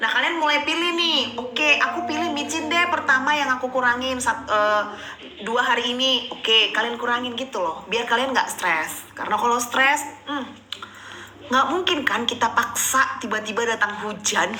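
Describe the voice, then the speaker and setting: Loud and high-pitched, a woman speaks at a moderate pace with ordinary pitch variation, amid noticeable background noise and audible room echo. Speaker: livestream host sharing pregnancy experience. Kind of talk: live Q&A chat. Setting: livestream. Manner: casual, chatty.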